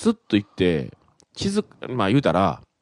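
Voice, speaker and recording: A man talks at a fairly low pitch with very wide pitch swings. The sound is dry and close with no echo, over a quiet background. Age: 40s. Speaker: radio host. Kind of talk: casual chat.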